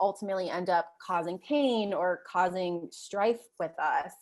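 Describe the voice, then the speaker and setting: The background is quiet as a woman talks with ordinary pitch variation. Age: 30s. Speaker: author. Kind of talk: interview. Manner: casual, many fillers like um and like.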